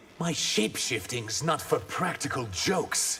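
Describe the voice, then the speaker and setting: Clear background noise sits behind a man doing a put-on character voice. His pitch is medium and his pace moderate. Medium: video game.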